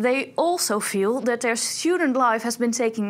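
A woman speaks at a moderate pace in a plain, everyday voice. Her pitch is fairly high and her intonation lively. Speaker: student TV co-host. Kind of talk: news reading. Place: studio.

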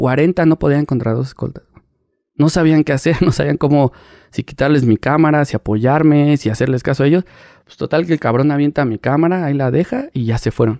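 Here a man's dark, mellow tone comes through with big swings in loudness and ordinary pitch variation. The sound is dry and close, with no echo. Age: 30s. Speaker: paparazzi photographer. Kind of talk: casual interview chat.

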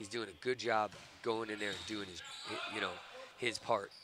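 Noticeable background noise sits under the voice. The speaking moves at a moderate pace. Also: man. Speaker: volleyball coach, guest commentator. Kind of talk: casual analysis commentary. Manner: relaxed, conversational, hesitant with fillers.

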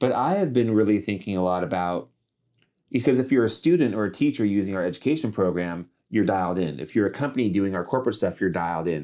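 Over a quiet background, a dark, mellow voice with an American accent races along at a very fast pace with lively intonation. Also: man, fairly low pitch for a man. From California, Central Valley (Modesto); California. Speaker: author and public speaker; public speaker. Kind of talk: casual interview chat. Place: studio.

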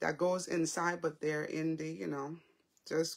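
The background is quiet. Speech comes at a moderate pace. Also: woman. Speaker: faith vlogger. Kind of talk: casual devotional talk. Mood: warm, animated. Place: home room. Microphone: phone near.

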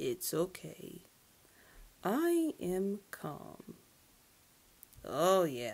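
A female-sounding put-on character voice talks at medium pitch and a very slow pace. Long pauses come often.

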